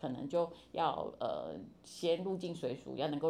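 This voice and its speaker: A woman's voice carries audible room echo. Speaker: university professor of Chinese. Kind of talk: interview.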